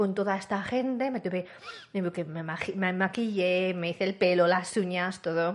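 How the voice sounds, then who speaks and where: A woman's normal speaking voice at a medium pitch, fairly slow in pace, with fairly even intonation. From Spain, La Rioja (Calahorra). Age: 40s. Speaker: science communicator. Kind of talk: interview.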